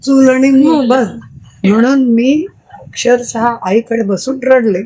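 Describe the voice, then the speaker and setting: A woman's high-pitched voice holds a very even loudness, with ordinary pitch variation. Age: 80s+. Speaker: retired school teacher. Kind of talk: podcast interview answer.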